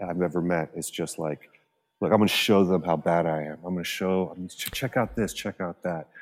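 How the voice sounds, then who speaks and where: A man speaks at a fairly quick pace with a very deep, low pitch and ordinary pitch variation. His loudness swings widely. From Venezuela. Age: 40s. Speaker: musician and composer. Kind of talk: casual chat.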